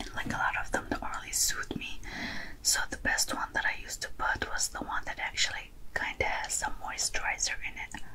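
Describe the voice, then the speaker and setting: Whispered speech from a woman, at a fairly quick pace. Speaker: ASMR makeup roleplay host. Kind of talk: soft roleplay tutorial chat.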